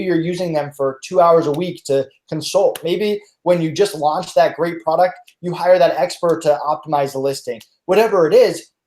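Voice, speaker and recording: A man speaks at a high pitch in a dark, mellow tone with ordinary pitch variation. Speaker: freelance marketplace representative. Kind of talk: webinar. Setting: live online webinar. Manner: fast.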